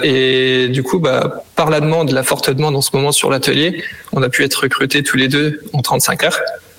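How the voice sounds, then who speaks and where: Speaking at a fairly quick pace, a man with a fairly high pitch keeps a fairly even intonation over noticeable background noise. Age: 20s. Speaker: bike workshop technician. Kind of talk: interview.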